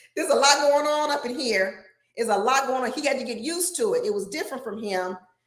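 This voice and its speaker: Loud and animated, a woman speaks very fast in a high pitch with lively intonation. Audible room echo surrounds her voice. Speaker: relationship advice show host. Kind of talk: live stream advice talk. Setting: live broadcast.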